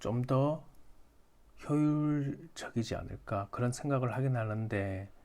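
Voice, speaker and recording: Very slowly, a man speaks at a medium pitch with ordinary pitch variation and a dark, mellow tone. The recording is very clean, with a silent background. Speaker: stock beginner YouTuber, app maker. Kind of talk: tutorial. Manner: halting, self-correcting.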